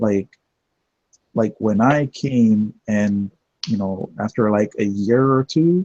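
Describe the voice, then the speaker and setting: At a very slow pace with long, frequent pauses, a man speaks in a dark, mellow tone, the sound dry and close with no echo. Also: fairly low pitch for a man, ordinary pitch variation. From Jamaica. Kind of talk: casual chat.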